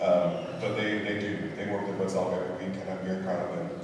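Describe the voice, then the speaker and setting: Over noticeable background noise and strong room echo, a man talks fairly quickly in a fairly low pitch with fairly even intonation. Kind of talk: concert introduction remarks. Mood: warm, a bit emotional. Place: church. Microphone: camera far.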